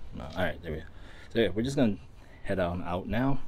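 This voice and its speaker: Pitch moves in an ordinary way while light noise hums in the background. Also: man. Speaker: vlogger. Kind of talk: casual vlog chat. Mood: relaxed, accepting of delays. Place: street. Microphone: phone near.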